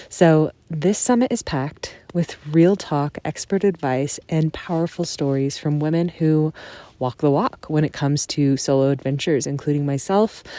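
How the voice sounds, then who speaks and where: Soft-spoken and very deep, low in pitch, a woman talks at a moderate pace with ordinary pitch variation and a dark, mellow tone, in a dry, close sound with no echo. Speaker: podcast host. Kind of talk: casual podcast monologue. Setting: in a tent on a backpacking trip.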